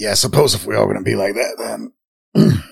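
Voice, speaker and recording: A raspy, put-on character voice fills the clip. It rattles along at a very fast pace. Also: man. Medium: actual play. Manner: casual, slangy, swears.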